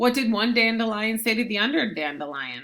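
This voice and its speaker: A female-sounding, put-on character voice comes across squeaky and fairly high. It moves at a fairly quick pace. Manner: speaking without moving the lips.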